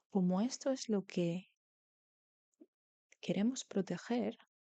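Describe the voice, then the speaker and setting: A woman speaks at a very slow pace and medium pitch, with ordinary pitch variation. Her tone is calm, dark and mellow, and the sound is dry and close with no echo. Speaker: tarot reader. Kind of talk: tarot reading, soft-spoken ASMR style. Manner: soft-spoken, calm.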